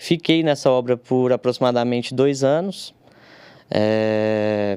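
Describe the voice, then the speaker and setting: Ordinary pitch variation in a dry, close sound with no echo, on a very clean recording with a silent background. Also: man. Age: 30s. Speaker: civil engineer, technical consultant. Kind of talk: podcast interview. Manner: halting, many fillers.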